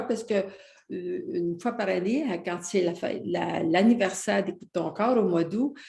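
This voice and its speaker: A woman speaks in a Quebec accent. Her intonation is lively and her pace moderate. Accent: Québécois French. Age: 80s+. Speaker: personal development author. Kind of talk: interview answer.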